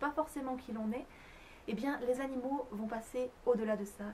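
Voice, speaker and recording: A woman with a high voice talks at a medium pace, her pitch moving in a typical way, as clearly audible noise sounds behind her. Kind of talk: educational talk to camera about animal communication. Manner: whispered, soft.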